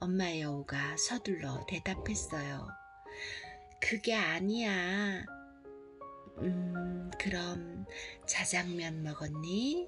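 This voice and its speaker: Soft-spoken and at a very even loudness, a woman talks at a very slow pace with long, frequent pauses and a fairly low pitch, with audible room echo and music in the background. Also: ordinary pitch variation. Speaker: picture book storyteller. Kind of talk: reading aloud.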